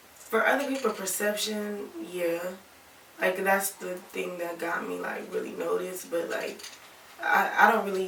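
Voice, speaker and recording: A woman with an American accent speaks at a medium pitch and a fairly slow pace with fairly even intonation, amid noticeable background noise and audible room echo. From Toledo, Ohio (born Alabama, ties to Tennessee). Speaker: rapper. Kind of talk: interview. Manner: casual, many fillers.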